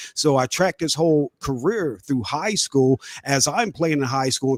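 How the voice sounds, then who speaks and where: The voice has an animated tone, a moderate pace and ordinary pitch variation, with a dry, close sound and no echo. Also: man. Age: 40s. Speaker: sports radio host. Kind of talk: casual chat.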